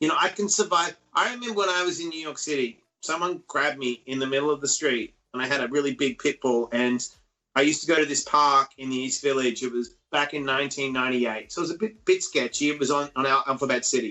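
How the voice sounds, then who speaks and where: Talking at a very fast pace, a man with an Australian accent uses a fairly high pitch and ordinary pitch variation. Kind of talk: casual interview. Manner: animated.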